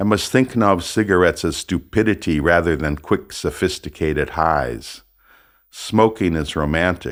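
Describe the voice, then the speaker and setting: With an American accent and vocal fry, a man speaks at a very deep, low pitch and a moderate pace with ordinary pitch variation, recorded very cleanly against a silent background. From United States. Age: 70s. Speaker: author reading his own book. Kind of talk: audiobook reading of a personal memoir.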